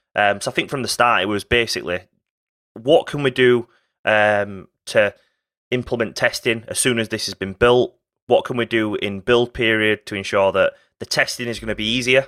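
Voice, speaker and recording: This is a normal speaking voice, moving at a moderate pace with fairly even intonation. The recording is very clean and dry, close with no echo, over a silent background. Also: man, medium pitch for a man. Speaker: company co-founder and technology chief. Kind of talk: casual interview conversation.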